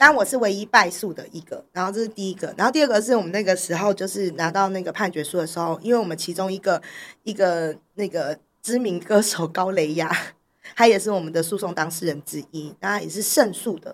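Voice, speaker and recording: At a fairly quick pace, a woman of medium pitch speaks with ordinary pitch variation and big swings in loudness. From Taiwan, Taipei. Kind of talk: interview conversation. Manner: laughs often, hearty laugh.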